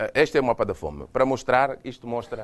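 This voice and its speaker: The speaker is a man with a Mozambican accent. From Mozambique. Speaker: UN agency official, former agriculture minister. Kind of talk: lecture. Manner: hesitant, with many repeated words.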